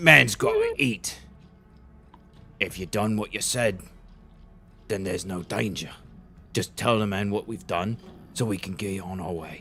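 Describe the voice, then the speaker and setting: Putting on a raspy character voice at a fairly low pitch, a man moves at a moderate pace with long, frequent pauses, and clear background noise sits underneath. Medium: actual play.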